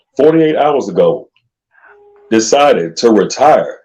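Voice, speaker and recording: Speaking fairly slowly, a man with a fairly high pitch lets vocal fry creep into his voice. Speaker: aspiring voice actor. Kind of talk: casual chat. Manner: animated.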